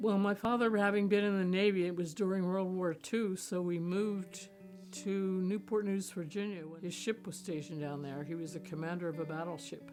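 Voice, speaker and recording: A woman's medium-pitched voice with an American accent, fairly quick and fairly even in intonation, with music in the background. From Pennsylvania. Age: 80s+. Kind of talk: interview answer.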